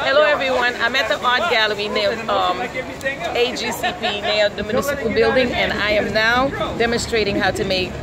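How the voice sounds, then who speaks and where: With crowd noise in the background, a woman speaks at a moderate pace with hardly any pauses and ordinary pitch variation. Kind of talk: casual vlog chat. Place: street. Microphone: phone near.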